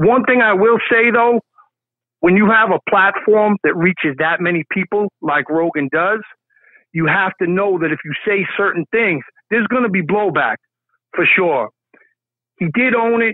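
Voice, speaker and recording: A man's high-pitched voice broken by long, frequent pauses. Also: moderate pace. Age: 50s. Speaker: caller. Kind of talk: call-in comment.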